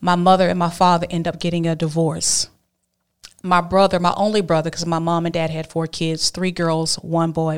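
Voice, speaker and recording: A woman's fairly low voice with a Southern US accent, flat and monotone in intonation. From Alabama. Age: 40s. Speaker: abstinence advocate and speaker. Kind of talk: testimony.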